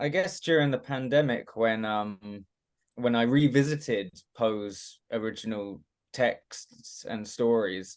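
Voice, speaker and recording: At a fairly slow pace, a man with a British accent talks against a quiet background. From England, Watford. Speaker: actor. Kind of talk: interview. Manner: halting, many fillers and restarts.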